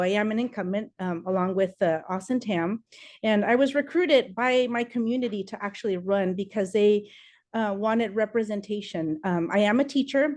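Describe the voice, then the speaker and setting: Against a quiet background, a woman talks at a moderate pace with a medium pitch and ordinary pitch variation. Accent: Spanish. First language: Spanish. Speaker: political candidate. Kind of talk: campaign speech.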